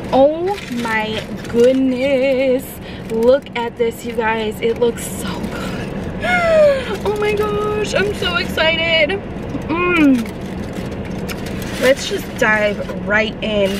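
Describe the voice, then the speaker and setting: A very slow pace with long, frequent pauses, in a dry sound with no echo and music in the background. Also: woman. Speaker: vlogger. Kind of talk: casual vlog chat. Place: car. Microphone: phone near.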